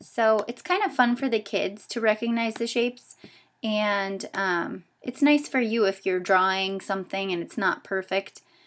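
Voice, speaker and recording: At a fairly slow pace, a woman with a fairly high pitch and ordinary pitch variation speaks in an unremarkable speaking voice. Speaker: teacher trainer. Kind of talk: tutorial. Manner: casual with fillers.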